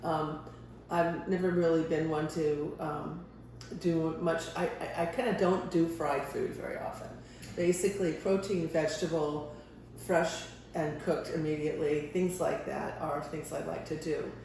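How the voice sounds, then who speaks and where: Amid noticeable background noise and audible room echo, a woman with an American accent speaks at a fairly low pitch and moderate pace with fairly even intonation. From California. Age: 80s+. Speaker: wellness guest. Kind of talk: casual interview. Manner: halting.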